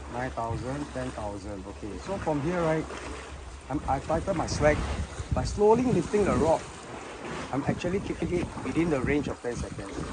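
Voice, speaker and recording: Against noticeable background noise, a man's voice makes very wide pitch swings and leaves long, frequent pauses. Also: moderate pace. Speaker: angler, fishing tutorial host. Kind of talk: fishing tutorial talk to camera. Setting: outdoors, windy.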